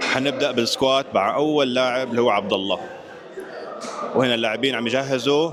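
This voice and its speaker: A man speaks at a fairly quick pace with a medium pitch, fairly even intonation and very even loudness, over noticeable background noise with audible room echo. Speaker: fitness vlogger and powerlifting referee. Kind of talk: vlog narration. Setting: powerlifting competition venue.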